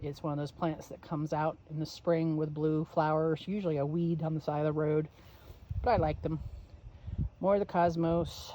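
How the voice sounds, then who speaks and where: A woman speaks in a very deep, low voice with a flat, monotone delivery. Noticeable background noise runs underneath. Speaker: gardener. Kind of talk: casual garden tour vlog to camera. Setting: outdoors, windy. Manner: casual, hesitant with fillers.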